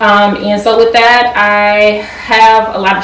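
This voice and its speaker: Through noticeable background noise and audible room echo, a woman speaks at a fairly high pitch. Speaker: pharmaceutical quality engineer. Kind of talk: interview. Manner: fast.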